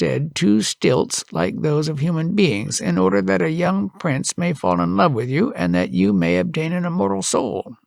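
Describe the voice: A text read out plainly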